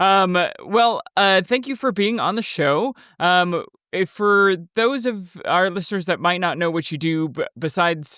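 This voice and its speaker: Projecting a raised voice, a man with an American accent speaks at a fairly slow pace in a bright, sharp tone. His pitch is high with ordinary variation, on a very clean recording with a silent background. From Texas. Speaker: podcast host. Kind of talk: casual interview. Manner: halting.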